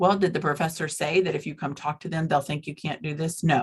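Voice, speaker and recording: Somewhat breathy, a woman speaks with a very deep, low pitch and fairly even intonation. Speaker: university staff workshop presenter. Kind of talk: online workshop presentation.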